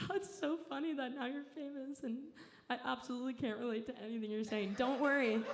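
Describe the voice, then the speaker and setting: With a Southern California accent, a woman talks fairly quickly in a high voice with lively intonation, amid noticeable background noise and audible room echo. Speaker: comedian. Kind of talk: stand-up. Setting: stage with audience.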